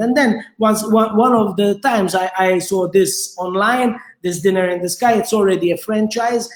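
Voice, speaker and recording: A Maltese accent at a moderate pace, with fairly even intonation. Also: man. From Malta. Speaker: restaurateur. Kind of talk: interview. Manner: halting, many repetitions.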